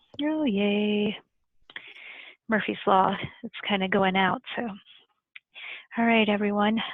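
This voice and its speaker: A woman speaks at a very slow pace with long, frequent pauses. Her pitch is medium and her intonation fairly even. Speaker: library staff. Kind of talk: guided breathing exercise.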